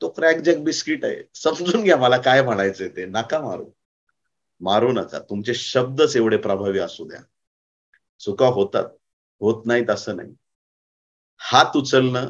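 Against a quiet background, a man speaks at a medium pitch. His intonation is lively, with big swings in loudness. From Maharashtra, India. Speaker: pastor. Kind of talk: sermon. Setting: conference with audience. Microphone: lapel.

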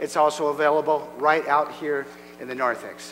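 There is light background noise as a man speaks at a moderate pace. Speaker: pastor. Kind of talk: announcements and prayer. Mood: warm, then solemn. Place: church.

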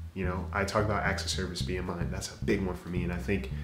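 Over faint music in the background, a man with a very deep, low voice talks at a fairly quick pace. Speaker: podcast host. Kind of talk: podcast monologue. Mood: calm, reflective. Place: home room.

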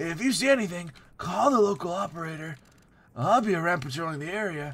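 Lively intonation runs through a put-on character voice delivered at a fairly quick pace. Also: man, high pitch for a man. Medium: game stream.

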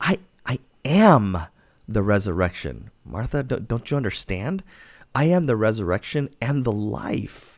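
Speaking at a fairly slow pace, a man uses an animated tone with very wide pitch swings against a quiet background. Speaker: pastor. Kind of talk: devotional Bible teaching. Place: home room. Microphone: studio mic.

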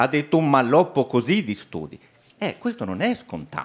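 A man speaks at a fairly quick pace, his pitch swinging very widely. The background is quiet. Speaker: hematologist; doctor on seminar panel. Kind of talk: online meeting remarks. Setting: online meeting. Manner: halting. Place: meeting room. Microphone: handheld.

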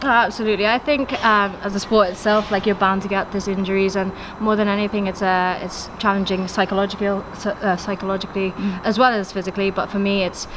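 A woman's very fast, monotone, flat delivery over noticeable background noise. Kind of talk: interview answer. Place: stadium. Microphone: handheld.

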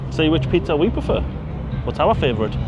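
Over music in the background, a man speaks at a fairly quick pace, the sound dry with no echo. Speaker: vlogger. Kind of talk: casual vlog chat. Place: street. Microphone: lapel.

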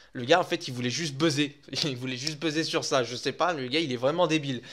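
Fairly high male speech, ordinary in its pitch variation, over a silent background on a very clean recording. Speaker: gaming YouTuber. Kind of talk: casual video commentary. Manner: fast.

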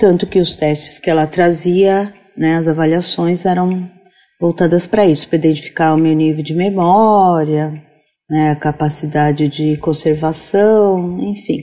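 A woman's fairly low-pitched, dark, mellow voice at a fairly slow pace. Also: ordinary pitch variation. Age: 50s. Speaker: teacher. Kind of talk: interview discussion.

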